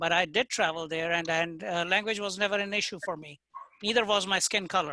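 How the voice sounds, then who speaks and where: With a non-native accent, a man speaks at a high pitch and a moderate pace. His pitch variation is ordinary. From India. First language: not English. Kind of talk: casual group video call.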